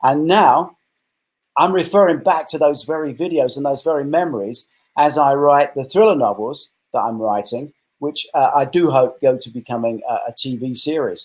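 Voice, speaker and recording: With an English accent, a man speaks at a moderate pace in a fairly high voice that shows ordinary pitch variation. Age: 60s. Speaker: retired film director and novelist. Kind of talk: interview.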